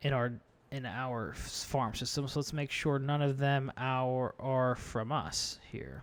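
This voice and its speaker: A man's mumbling, medium-pitched voice, monotone and flat, at a very slow pace in a very clean recording with a silent background. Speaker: gaming YouTuber. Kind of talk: gameplay commentary. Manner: casual stream of consciousness.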